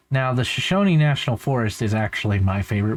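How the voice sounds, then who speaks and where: In a very clean recording with a silent background, a man with an ordinary speaking voice talks at a medium pitch with ordinary pitch variation. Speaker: van life vlogger. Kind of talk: casual vlog commentary. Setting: recorded voiceover in post. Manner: casual, rambling.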